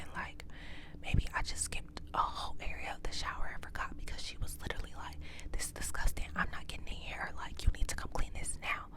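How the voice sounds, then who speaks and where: Noticeable background noise is present. A woman whispers through it. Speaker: ASMR creator. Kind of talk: ASMR story time, casual talk to camera.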